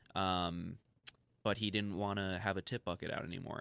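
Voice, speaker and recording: A man with an unremarkable speaking voice talks at a fairly quick pace in a fairly low pitch with fairly even intonation. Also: very clean recording, silent background. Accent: American. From New York City, Manhattan. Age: 20s. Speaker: film director. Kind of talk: casual interview. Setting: studio.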